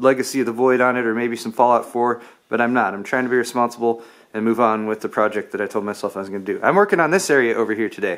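Against a quiet background, the speaker goes at a very fast pace. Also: man, ordinary pitch variation. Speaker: tech video creator. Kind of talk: casual vlog chat. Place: garage. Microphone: phone near.

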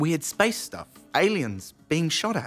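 A man's put-on character voice, fairly high in pitch and fairly bright in tone, with big pitch swings at a slow pace over faint music in the background.

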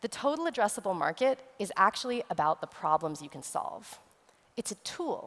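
Speaking with an American accent at a moderate pace, a woman lets her pitch swing very widely. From West Texas. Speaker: futurist and immersive technology consultant; conference speaker. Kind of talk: conference presentation. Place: stage. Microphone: headset.

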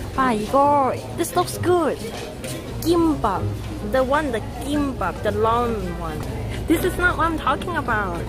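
Clear music plays behind a woman who speaks at a fairly slow pace. The sound is dry, with no echo. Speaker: livestreamer. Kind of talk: casual vlog chat. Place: station. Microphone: phone near.

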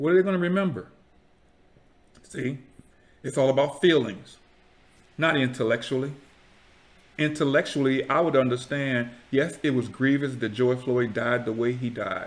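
A man speaks at a medium pitch and a moderate pace. His pitch varies in an ordinary way, and he takes long, frequent pauses. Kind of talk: casual talk to camera, YouTube commentary. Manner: preacherly, earnest. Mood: earnest, preachy.

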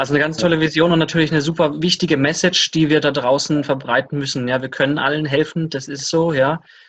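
A man with a fairly high voice at a very fast pace, monotone and flat in intonation, with hardly any pauses, against a quiet background. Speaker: interviewer. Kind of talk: interview. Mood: friendly, upbeat. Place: home room. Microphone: webcam.

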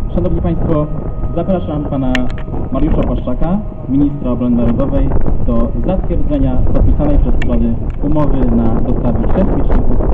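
A man talks at a moderate pace. Loud background noise surrounds him. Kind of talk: formal ceremony announcement. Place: waterside.

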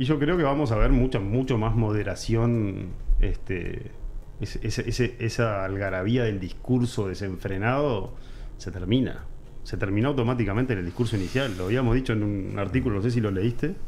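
Over light background noise, a man speaks at a moderate pace and medium pitch with ordinary pitch variation. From Uruguay. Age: 40s. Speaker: political commentator. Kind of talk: interview. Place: studio. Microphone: studio mic.

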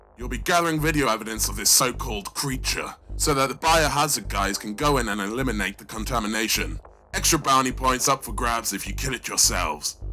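Over background music, a man does a raspy put-on character voice at medium pitch and a fairly quick pace.

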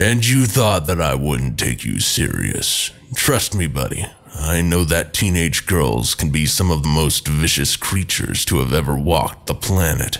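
At a moderate pace, a man puts on a raspy character voice pitched very deep and low. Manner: soothing, protective; casual, joking.

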